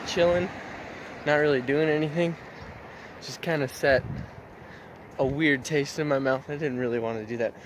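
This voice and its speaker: The speech moves at a moderate pace with ordinary pitch variation, under noticeable background noise. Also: man. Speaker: vlogger. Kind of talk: casual vlog. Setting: outdoors on a walk.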